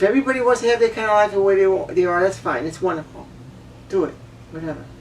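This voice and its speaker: A woman at medium pitch talks very fast with lively intonation. Noticeable background noise runs underneath. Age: 60s. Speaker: vlogger. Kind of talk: personal monologue rant. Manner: emotional, repetitive.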